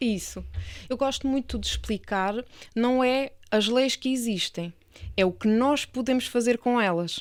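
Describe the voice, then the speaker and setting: Fairly high-pitched woman with an Alentejo accent, at a fairly slow pace and with ordinary pitch variation, in a very clean recording with a silent background. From Portugal, Alentejo. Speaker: real estate lawyer. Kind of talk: interview podcast.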